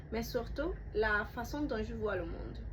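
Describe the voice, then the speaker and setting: A woman talks at a fairly slow pace. Noticeable background noise and audible room echo fill the recording. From Cuba. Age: 20s. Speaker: student applicant. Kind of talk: prepared self-presentation.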